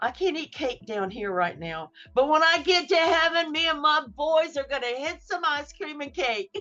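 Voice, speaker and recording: A high-pitched woman with a Southern US accent, lively intonation, hardly any pauses and a moderate pace. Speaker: author. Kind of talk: testimony.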